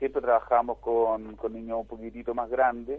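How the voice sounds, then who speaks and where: The speaker is a man. His pitch is medium. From Chile. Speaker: tennis foundation director. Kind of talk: radio interview. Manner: halting.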